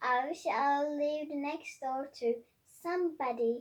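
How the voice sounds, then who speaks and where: Using a put-on character voice, a woman speaks at a high pitch. Her pace is fairly slow and her intonation fairly even. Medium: read story. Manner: giggly, playful.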